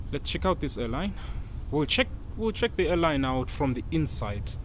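Over light background noise, a man talks with vocal fry. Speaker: travel vlogger. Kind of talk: casual vlog chat. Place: station. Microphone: phone near.

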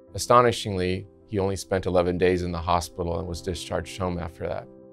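Over music in the background, a man with a very deep, low pitch speaks very fast with fairly even intonation. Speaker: transplant surgeon. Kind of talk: interview answer.

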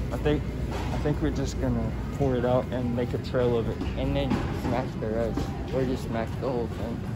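A man talks at a moderate pace with long, frequent pauses. Music is in the background. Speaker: prank vlogger. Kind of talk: casual vlog chat. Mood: excited, mischievous. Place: shop. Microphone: phone near.

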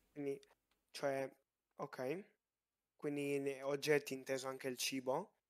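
A man with a fairly high pitch speaks very slowly in a flat monotone, with long, frequent pauses. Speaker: gamer applying to roleplay server. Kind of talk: oral exam interview. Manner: halting.

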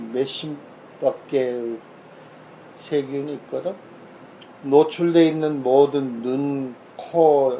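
A man's fairly high voice at a very slow pace, with long, frequent pauses, fairly even intonation and noticeable background noise. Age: old. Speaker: family doctor. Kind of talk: casual medical explainer. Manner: informal, conversational.

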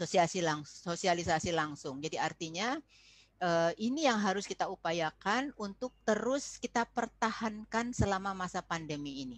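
Against a quiet background, a woman speaks at a fairly slow pace with lively intonation in a dry sound with no echo. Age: 60s. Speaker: foundation chair and lecturer on parenting; presenter. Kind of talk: online parenting presentation. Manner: warm, conversational, addresses audience. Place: classroom. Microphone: webcam.

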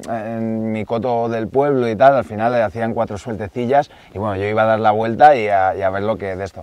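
A man speaks at a very fast pace with ordinary pitch variation, and the sound is dry with no echo. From Catalonia, near Barcelona. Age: 30s. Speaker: woodcock hunter; guest. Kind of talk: casual interview chat. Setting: outdoors in the Pyrenees. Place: forest.

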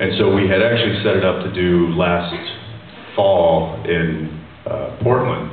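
Audible room echo and light background noise surround a man whose pitch is very deep and low. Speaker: guest. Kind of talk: interview answer. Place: hall. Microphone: pa.

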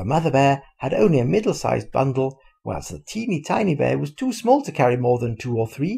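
Plain reading aloud fills the clip.

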